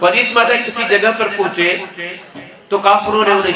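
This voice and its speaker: A man projects his raised voice at a high pitch with fairly even intonation. The room echo is audible and the background noise is noticeable. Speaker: Islamic preacher. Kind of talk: sermon. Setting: religious conference.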